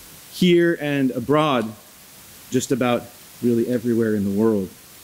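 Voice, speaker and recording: A man speaks at a medium pitch over noticeable background noise. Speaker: immigration lawyer and organization director. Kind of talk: conference opening remarks. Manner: loud.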